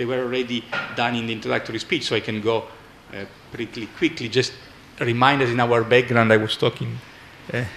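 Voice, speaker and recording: A man with an Italian accent at a very fast pace, over noticeable background noise. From Italy. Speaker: economics professor. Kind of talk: conference talk. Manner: halting.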